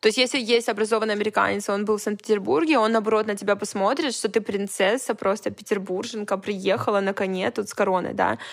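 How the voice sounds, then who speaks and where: A woman at medium pitch talks very fast with vocal fry and hardly any pauses. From Russian Far East, Vladivostok. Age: 20s. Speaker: stylist and event organizer. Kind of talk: casual chat. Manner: animated.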